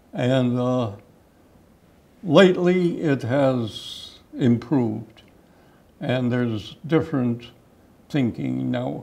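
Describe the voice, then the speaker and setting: Speaking at a very slow pace with long, frequent pauses, a man in a Chicago accent uses ordinary pitch variation. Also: medium pitch for a man. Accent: Chicago-area American. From Chicago area, Illinois (Cicero). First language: Czech. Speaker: park district commissioner. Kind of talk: interview.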